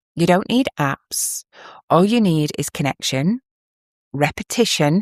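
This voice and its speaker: Slowish and fairly low-pitched, a woman with an English accent speaks with very wide pitch swings. The sound is dry and close, with no echo. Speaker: parenting podcast host. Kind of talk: podcast monologue, advice. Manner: warm.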